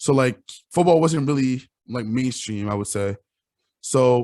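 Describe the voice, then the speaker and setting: With a Quebec accent, a man talks at a fairly quick pace in a medium pitch. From Quebec, Canada. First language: French. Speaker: college football player. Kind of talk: interview.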